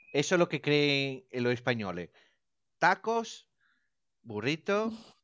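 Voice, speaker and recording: The speech is very slow, with very wide pitch swings. The background is quiet. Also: man. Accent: Italian. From Italy. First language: Italian (speaking Spanish). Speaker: radio station director. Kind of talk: casual chat.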